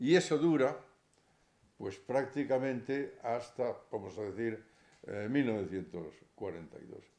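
Long, frequent pauses break up a man's very slow speech. His tone is dark and mellow, with lively intonation. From Spain. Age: 70s. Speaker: lawyer and former politician; lecturer. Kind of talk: lecture. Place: hall. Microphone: podium.

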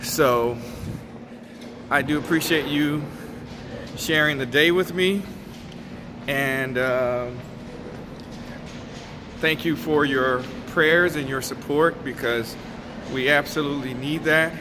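Amid noticeable background noise, a man speaks at a very slow pace with long, frequent pauses and fairly even intonation. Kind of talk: casual vlog chat. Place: hall. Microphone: phone near.

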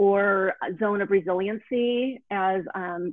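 A woman talks with fairly even intonation. The sound is dry and close, with no echo.

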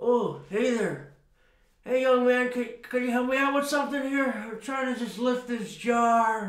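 A man's extremely high pitch at a fairly slow pace, with a slight echo. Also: ordinary pitch variation. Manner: rambling, forgetful, eccentric.

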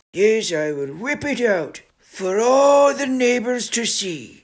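A man's put-on character voice, extremely high in pitch with very wide swings, at a fairly slow pace. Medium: comedy sketch. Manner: gruff.

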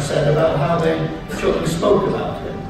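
With clear music in the background and strong room echo, a man talks at a moderate pace. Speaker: guest. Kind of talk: ceremonial speech with anecdotes. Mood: humorous storytelling. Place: hall.

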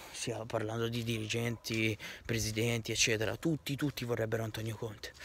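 A man speaks at a moderate pace with monotone, flat intonation and a somewhat breathy voice. The sound is dry with no echo, with light background noise. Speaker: football fan vlogger. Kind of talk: passionate fan rant, emotional tribute to the team and its coach, apologizing on camera. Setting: home video recording, wearing team shirt. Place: street. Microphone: phone near.

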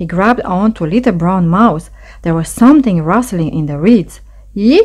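What comes through is a natural reading voice.

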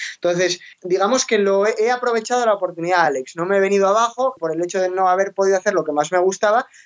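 A man with a high pitch and ordinary pitch variation at a very fast pace, with hardly any pauses. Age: 20s. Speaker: financial and tax advisor. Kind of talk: interview.

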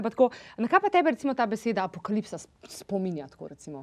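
A woman speaks at a fairly high pitch against a quiet background. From Slovenia. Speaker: talk show host. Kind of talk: interview. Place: studio. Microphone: lapel.

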